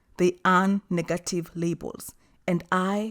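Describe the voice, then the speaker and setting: Background music plays. Over it, a woman talks. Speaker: life coach vlogger. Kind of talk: personal reflection monologue. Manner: vocal, not soft-spoken; assertive, confident.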